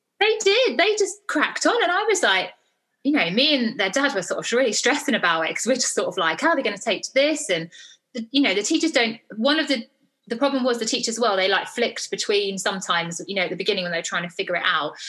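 A woman with a southern English accent talks at a very fast pace, her fairly high pitch making very wide swings. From southeast England. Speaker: parenting author and blogger. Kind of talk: casual chat.

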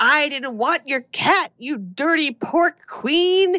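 A woman shouts in a put-on character voice at a high pitch. Her pace is very slow. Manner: screaming.

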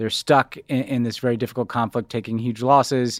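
On a very clean recording with a silent background and a dry, close sound with no echo, a man talks at a fairly quick pace with a medium pitch and monotone, flat intonation. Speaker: podcast host discussing foreign policy. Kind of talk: casual political discussion and interview.

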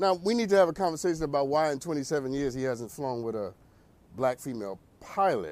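The speaker is a man with an animated tone. He keeps a moderate pace. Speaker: podcast host. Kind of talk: comedic rant; casual chat. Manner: irreverent, energetic.

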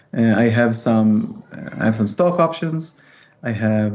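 The speaker has an Israeli accent. Pitch variation is ordinary. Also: man. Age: 30s. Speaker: real estate investor and former tech engineer. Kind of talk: casual interview.

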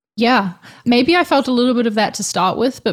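Here a woman talks with a New Zealand accent. Her intonation stays fairly even. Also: very clean recording, silent background. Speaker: designer and YouTuber. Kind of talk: interview.

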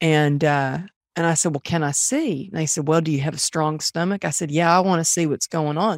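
With a slight Texan accent, a woman with a very deep, low voice speaks at a fairly quick pace in an animated tone, with dry, close sound, no echo, and a very clean recording against a silent background. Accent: Southern US, Texas, slight. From Texas. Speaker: author and peak performance coach. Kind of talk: casual interview chat. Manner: animated, storytelling.

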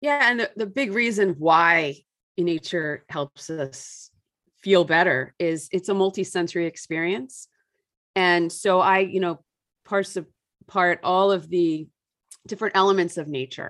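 A woman's fairly low-pitched voice at a fairly slow pace, ordinary pitch variation and long, frequent pauses over a quiet background. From US suburbs. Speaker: author and environmental parenting writer. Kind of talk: casual interview chat.

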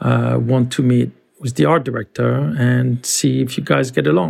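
At a moderate pace, a man speaks with a French accent. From France. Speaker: creative director. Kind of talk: interview. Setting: video call.

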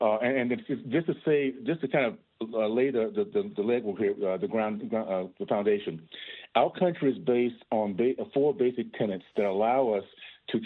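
His is an ordinary speaking voice, pitched in the middle range. This man talks at a moderate speed, and his pitch varies in an ordinary way. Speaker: congressman. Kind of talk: radio interview.

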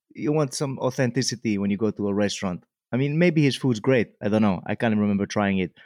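A man's fairly low voice at a very fast pace, with ordinary pitch variation, a dry, close sound with no echo, and a quiet background. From Mallorca, Spain. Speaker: comedian. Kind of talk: casual chat.

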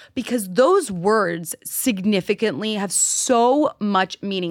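This woman has an unremarkable speaking voice and an American accent. The recording is very clean with a silent background, and the sound is dry and close with no echo. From New York City, Manhattan. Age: 20s. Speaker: dating content creator. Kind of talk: casual chat.

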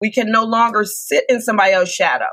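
A woman with an American accent at a very fast pace, with ordinary pitch variation and an animated, bright, sharp tone. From Detroit, Michigan. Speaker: relationship coach. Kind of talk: interview.

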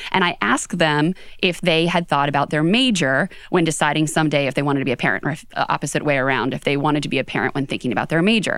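Speaking at a very fast pace with an American accent, a woman uses a very deep, low pitch and ordinary pitch variation. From Western Pennsylvania, outside Pittsburgh. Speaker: HR executive and author. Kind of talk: interview. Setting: studio.

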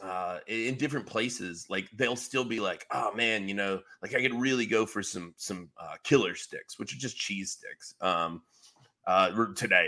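A man with a north Georgia accent speaks at a fairly slow pace in a bright, sharp tone on a very clean recording with a silent background. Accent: Southern US (north Georgia). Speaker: sports podcast co-host. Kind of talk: casual chat.

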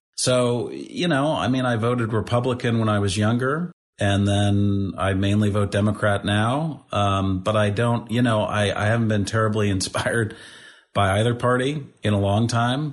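A man speaks at a moderate pace with fairly low pitch, ordinary pitch variation and very even loudness. It is an unremarkable speaking voice against a quiet background. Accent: American. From St. Louis, Missouri. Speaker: nonprofit founder and CEO. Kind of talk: interview conversation.

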